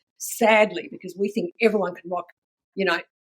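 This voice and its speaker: A woman speaks with an Australian accent and fairly even intonation. The sound is dry and close, with no echo. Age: 70s. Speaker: fashion brand founder. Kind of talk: casual chat. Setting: podcast interview.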